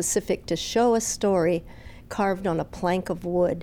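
Here a woman speaks at medium pitch. Her tone is dark and mellow. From Palau. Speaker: exhibit curator. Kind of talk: radio interview.

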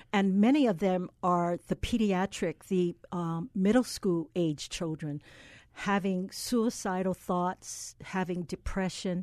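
A woman at a very slow pace, with a dry, close sound, no echo and a quiet background. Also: medium pitch for a woman, ordinary pitch variation. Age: 60s. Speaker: pediatrician. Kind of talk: interview. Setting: studio.

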